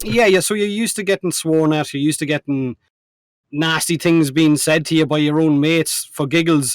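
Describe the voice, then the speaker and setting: At a fairly quick pace and with ordinary pitch variation, the speaker has an Irish accent, recorded with a dry, close sound and no echo. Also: man, fairly high pitch for a man. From Ireland. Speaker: co-host, gaming content creator. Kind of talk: casual chat.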